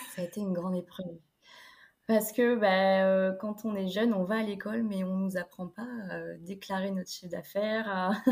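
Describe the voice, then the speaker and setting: A woman speaks at a moderate pace and medium pitch. Her voice is somewhat breathy, with monotone, flat intonation. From France, Niort (Deux-Sèvres). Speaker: student entrepreneur, web agency founder. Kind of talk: interview.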